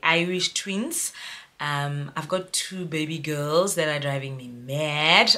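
A woman talks at a very slow pace. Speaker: mom vlogger. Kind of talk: casual vlog storytime. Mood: cheerful, animated. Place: home room. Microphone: phone near.

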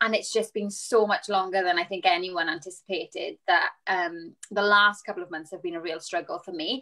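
With a south Wales accent and a bright, sharp tone, a woman speaks at a moderate pace with fairly even intonation and hardly any pauses against a quiet background. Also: medium pitch for a woman. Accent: south Wales (Valleys). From Wales, Rhondda. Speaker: musical theatre performer. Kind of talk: panel discussion. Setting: video call. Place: home room. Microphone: video call.

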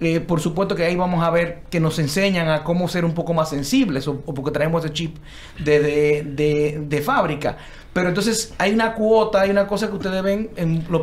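A man speaks at a moderate pace in a high-pitched voice. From Dominican Republic. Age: younger than the other architects. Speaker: architect, panel guest; guest. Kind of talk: panel discussion. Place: studio. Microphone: studio mic.

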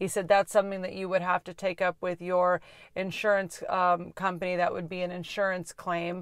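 The woman's voice is dry, with no echo. The background is quiet. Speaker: channel host. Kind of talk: casual vlog chat. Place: car. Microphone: phone near.

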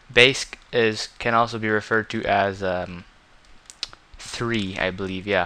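A man's fairly low voice in a flat, monotone delivery. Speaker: gaming tutorial creator. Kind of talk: tutorial. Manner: casual, frequent fillers.

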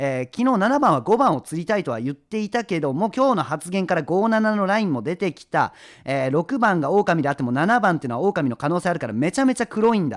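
Speaking very fast with hardly any pauses, a man uses a high voice with very wide pitch swings. The recording is very clean and dry, with a close sound, no echo and a silent background. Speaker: streamer playing werewolf game. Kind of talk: live game stream commentary. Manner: jokey, laughs a lot.

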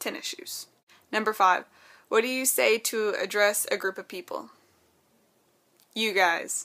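Her tone bright and sharp, a woman with an American accent talks with ordinary pitch variation. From Texas. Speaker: vlogger. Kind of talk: casual talk to camera. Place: home room. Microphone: webcam.

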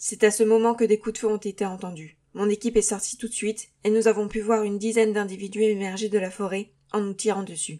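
This woman talks at a fairly quick pace in a medium pitch with monotone, flat intonation. The recording is very clean, with a silent background. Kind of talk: sci-fi audio drama, mission report read aloud. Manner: formal, clipped, military.

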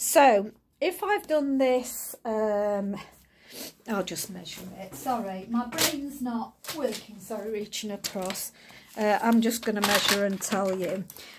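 Through noticeable background noise, a woman talks at a very slow pace with ordinary pitch variation. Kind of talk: tutorial. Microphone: phone near.

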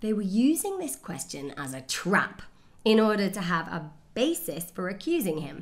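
A woman's speech at a fairly slow pace, with very wide pitch swings and vocal fry. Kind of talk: scripture reading. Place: home room.

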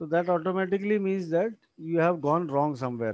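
A man's high-pitched voice with an Indian accent. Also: quiet background. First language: Hindi. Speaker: engineering lecturer. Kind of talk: lecture.

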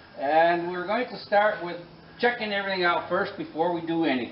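A man with a high voice speaks at a moderate pace. Audible room echo and light background noise surround him. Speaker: tractor mechanic. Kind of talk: tutorial. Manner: explanatory, methodical. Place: workshop. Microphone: camera far.

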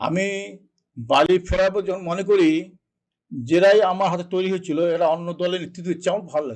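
This man's voice sits high in pitch, with fairly even intonation. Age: 70s. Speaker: politician. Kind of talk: interview. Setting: studio.

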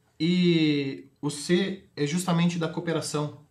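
This man's voice sits fairly high and carries a fairly even intonation. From Brazil, Rio Grande do Sul (Itaqui, western border); Rio Grande do Sul, Brazil. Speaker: sales executive and NFT entrepreneur; sales executive. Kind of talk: TV interview. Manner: hesitant with many fillers. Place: studio.

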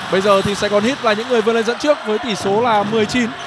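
Over noticeable background noise, a man talks very fast in an extremely high, excited and animated voice. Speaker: basketball commentator. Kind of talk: live sports commentary. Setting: basketball arena game broadcast. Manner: fast, animated play-by-play delivery; excited, rapid-fire naming of players and scores.

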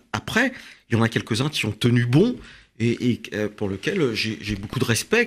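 A man, somewhat breathy, medium in pitch, at a fairly slow pace. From France. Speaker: author and immigration agency director; guest. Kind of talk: radio interview. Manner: halting, many hesitations. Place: studio. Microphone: studio mic.

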